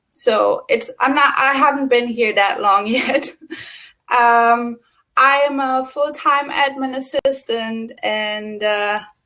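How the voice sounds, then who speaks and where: In a German accent, a woman speaks very slowly in a raised, projected voice with a high pitch, a bright, sharp tone and fairly even intonation. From Germany. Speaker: co-host, admin assistant. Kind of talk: personal introduction, testimony. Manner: hesitant, many fillers.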